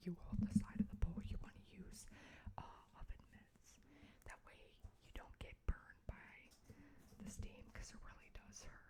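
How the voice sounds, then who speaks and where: Someone whispers at a moderate pace, stopping for long, frequent pauses. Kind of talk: ASMR craft tutorial. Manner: whispered.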